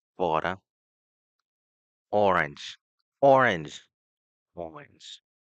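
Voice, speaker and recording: A man does a put-on character voice, raspy and very deep and low, moving at a very slow pace with very wide pitch swings and long, frequent pauses. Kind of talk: accent drill exercises. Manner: repetitive, drilled.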